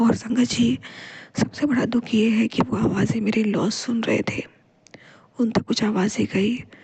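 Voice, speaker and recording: A woman's fairly high pitch with a dark, mellow tone, vocal fry, very even loudness and ordinary pitch variation. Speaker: devotional vlogger. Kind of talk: devotional testimony.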